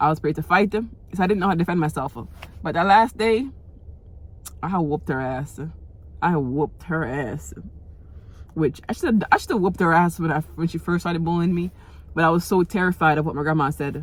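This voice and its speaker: A woman with a fairly low pitch and vocal fry talks at a fairly quick pace, breaking it with long, frequent pauses, her pitch varying in an ordinary way. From Jamaica. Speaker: vlogger. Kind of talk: personal storytelling vlog. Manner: casual, repetitive filler-heavy.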